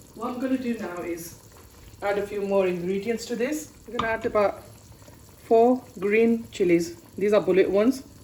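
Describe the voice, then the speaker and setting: Amid noticeable background noise, a woman speaks at a moderate pace with fairly high pitch and ordinary pitch variation. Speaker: cooking channel host. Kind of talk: cooking tutorial. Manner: casual, chatty.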